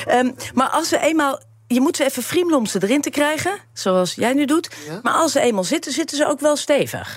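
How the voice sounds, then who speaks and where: High-pitched woman's voice with lively intonation at a moderate pace. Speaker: tech reporter. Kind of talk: casual chat.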